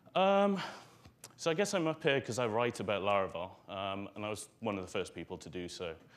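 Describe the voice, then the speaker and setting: A man speaks in a Welsh accent with a fairly low pitch. His pace is fairly quick and his intonation lively. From Wales. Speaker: conference speaker, software author. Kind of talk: conference talk. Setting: stage with audience. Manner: hesitant, many fillers.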